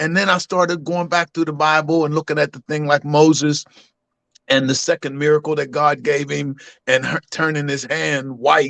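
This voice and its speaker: A man with an American accent has a normal speaking voice, fairly high in pitch, with fairly even intonation. He speaks at a moderate pace, and the sound is dry and close with no echo. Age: 60s. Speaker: caller. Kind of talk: call-in testimony.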